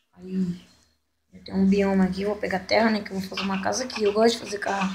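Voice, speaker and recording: A woman speaking at a fairly quick pace. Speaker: gaming youtuber. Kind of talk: gameplay commentary. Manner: casual, chatty. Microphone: voice too quiet.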